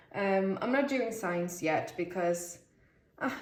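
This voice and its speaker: Lively intonation shapes a woman's medium-pitched voice with a Swedish accent, heard with audible room echo and noticeable background noise. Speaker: tarot reader. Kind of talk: tarot reading video, casual talk to camera. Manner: chatty, talking a lot; halting, searching for words.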